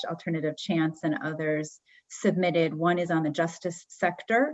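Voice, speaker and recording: Moving at a moderate pace, a woman with an unremarkable speaking voice talks at a fairly low pitch with fairly even intonation. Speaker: webinar moderator. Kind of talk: closing remarks of a webinar.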